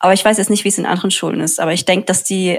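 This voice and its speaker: Vocal fry over fairly even intonation. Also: woman. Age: young. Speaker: student activist. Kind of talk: casual interview chat. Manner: halting, many fillers.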